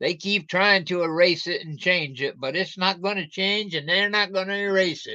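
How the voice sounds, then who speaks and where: A man speaks in a high-pitched, raised and projected voice. He keeps a moderate pace with hardly any pauses. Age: 60s. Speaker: livestreamer. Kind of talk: casual livestream talk. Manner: animated.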